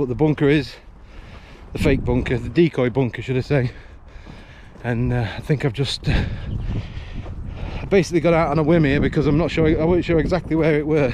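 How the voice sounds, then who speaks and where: A man's voice with ordinary pitch variation, over noticeable background noise. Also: fairly quick pace, dry sound with no echo. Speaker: local explorer vlogger. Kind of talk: casual vlog chat. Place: open country. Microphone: phone near.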